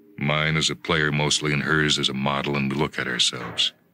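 Music plays in the background while the words come at a moderate pace. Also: man. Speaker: radio drama narrator. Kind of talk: short story reading.

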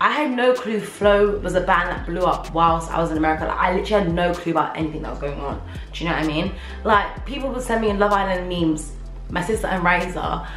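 Someone talks at a very fast pace with audible room echo and faint music in the background. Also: woman. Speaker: vlogger. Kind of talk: casual vlog chat. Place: home room. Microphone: camera far.

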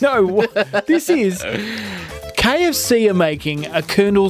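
A man speaks in a high voice at a fairly slow pace with lively intonation, the sound dry and echo-free while clear music plays in the background. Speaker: radio gaming news presenter. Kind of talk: casual radio banter about gaming news. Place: studio. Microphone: studio mic.

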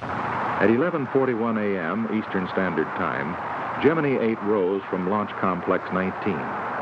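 Noticeable background noise sits behind a man with fairly low pitch. He speaks at a very slow pace with lively intonation. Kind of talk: scripted documentary narration. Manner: formal, measured, authoritative newsreel-style delivery; even, steady, unemotional pacing.

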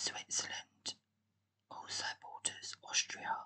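Someone whispers in a calm tone. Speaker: ASMR creator. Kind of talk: whispered ASMR talk-through of a geography quiz. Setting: recorded on a laptop microphone. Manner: whispered, soft, calm.

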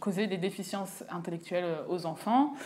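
A woman talks at a fairly quick pace. Her intonation is fairly even. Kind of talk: interview answer. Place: office. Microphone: lapel.

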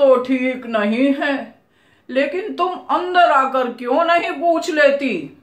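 A woman at a high pitch and a very slow pace, with ordinary pitch variation, audible room echo and a quiet background. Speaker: storyteller. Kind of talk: storytelling narration with character voices. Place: home room.

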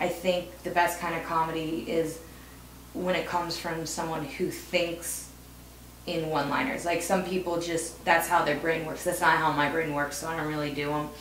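With an American accent, a woman speaks at a moderate pace and fairly low pitch in a monotone, flat intonation, with audible room echo and light background noise. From US Midwest, Ohio. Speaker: stand-up comedian. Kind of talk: casual interview. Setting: video interview. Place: home room.

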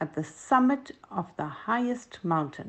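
Over a quiet background, a woman speaks in a gentle, warm tone with very wide pitch swings. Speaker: grandmotherly storyteller. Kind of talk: bedtime story telling for children, scripted narration. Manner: gentle, warm and slow.

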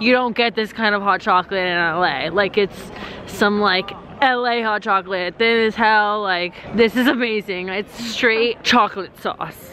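Against light background noise, a woman talks at a moderate pace with ordinary pitch variation in a dry sound with no echo. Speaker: travel vlogger. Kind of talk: casual vlog chat. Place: street. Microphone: phone near.

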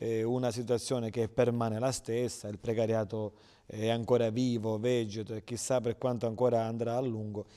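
A man's dark, mellow tone at a moderate pace, monotone and flat in intonation, over a quiet background. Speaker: TV interviewer. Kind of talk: interview. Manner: formal. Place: studio.

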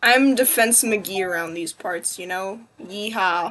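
Using a raspy, put-on character voice, a woman speaks at a fairly slow pace in a medium pitch. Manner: joking, exaggerated.

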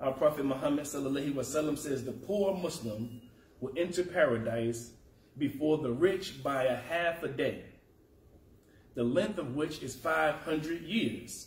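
There is audible room echo. A man speaks at a fairly slow pace. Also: ordinary pitch variation. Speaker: preacher. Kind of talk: sermon. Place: church.

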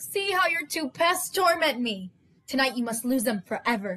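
A high-pitched, put-on character voice comes through with a hissing sound. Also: moderate pace. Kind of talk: storybook narration with character voices. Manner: cold, hissing, scornful.

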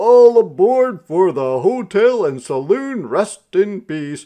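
Loud and slow, a man performs a put-on character voice pitched high, with big pitch swings and a dark, mellow tone.

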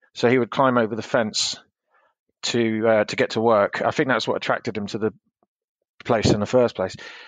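Speaking fairly quickly in a southern English accent, the voice stays monotone and flat, breaks into long, frequent pauses, and sounds dry and close with no echo against a quiet background. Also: man, medium pitch for a man. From England, Hertfordshire. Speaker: interviewee recounting childhood. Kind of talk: interview. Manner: hesitant, many fillers.

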